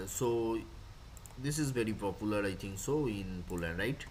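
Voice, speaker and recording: A man's speech, with ordinary pitch variation at a moderate pace, comes through audible room echo. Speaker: lecturer. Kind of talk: lecture.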